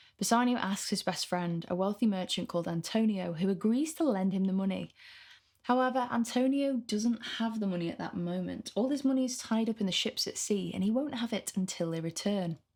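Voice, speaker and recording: Speaking at a fairly quick pace with a Mancunian accent, a woman uses a fairly high pitch, a somewhat breathy quality and ordinary pitch variation. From northern England, Manchester. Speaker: literature tutor. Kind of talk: lecture.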